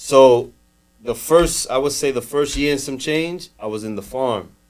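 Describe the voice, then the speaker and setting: A man's fairly high voice with an American accent, at a fairly slow pace. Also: ordinary pitch variation. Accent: New York Dominican American English. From New York City, Dominican. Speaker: cannabis grower and store owner. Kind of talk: casual podcast chat.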